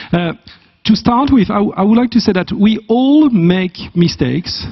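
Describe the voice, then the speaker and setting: In a French accent, a man speaks with a high pitch and lively intonation. His pace is fairly slow. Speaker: business school academic. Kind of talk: conference talk. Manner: halting.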